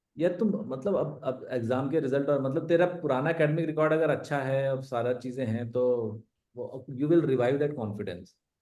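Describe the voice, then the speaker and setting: A man talks with fairly high pitch and a dark, mellow tone, with hardly any pauses. Audible room echo surrounds his voice. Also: ordinary pitch variation, moderate pace. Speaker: ex-army special forces member and mountaineer. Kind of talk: live online Q&A talk. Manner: casual, conversational.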